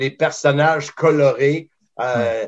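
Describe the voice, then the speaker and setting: This man talks in a fairly high pitch with fairly even intonation against a quiet background. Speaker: wrestling commentator. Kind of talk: interview.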